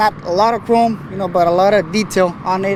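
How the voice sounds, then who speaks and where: A man with an American accent, high pitch, monotone, flat intonation and a fairly quick pace, with noticeable background noise. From Texas, San Antonio. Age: 20s. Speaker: truck painter and builder. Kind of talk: casual interview. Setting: outdoors at a truck show. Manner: halting, many fillers.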